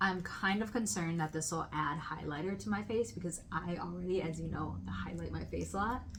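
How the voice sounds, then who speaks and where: A woman with a fairly low pitch talks at a fairly quick pace and with lively intonation, her voice carrying audible room echo. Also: hardly any pauses. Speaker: podcast host. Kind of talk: casual chat. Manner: loud, projecting voice.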